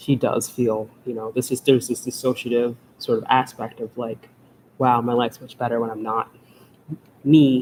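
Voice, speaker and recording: Monotone, flat intonation at a fairly quick pace. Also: man. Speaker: author. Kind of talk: live stream Q&A. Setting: live stream. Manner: rambling, halting.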